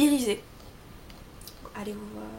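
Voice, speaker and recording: A woman is talking. Noticeable background noise and audible room echo come through. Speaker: beauty vlogger. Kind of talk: product review tutorial.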